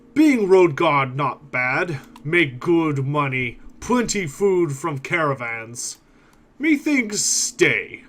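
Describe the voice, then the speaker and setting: A man's put-on character voice, fairly high-pitched and very slow. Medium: actual play. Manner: broken grammar, slow and blunt.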